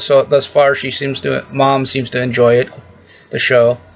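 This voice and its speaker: A man talking at a fairly slow pace, with faint music in the background. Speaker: vlogger. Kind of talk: casual vlog chat. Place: home room. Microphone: webcam.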